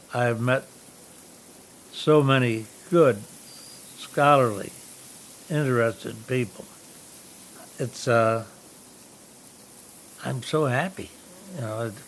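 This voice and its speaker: A man speaks at a very slow pace with a medium pitch, ordinary pitch variation, long, frequent pauses and noticeable background noise. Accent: American. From upstate New York, Saratoga area. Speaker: historic homeowner. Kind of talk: interview. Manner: halting, many fillers.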